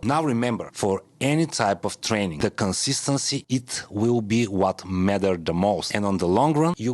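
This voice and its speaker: A man speaks at a moderate pace with an Eastern European accent. His intonation is lively. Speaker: fitness video host. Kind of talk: casual, non-native English.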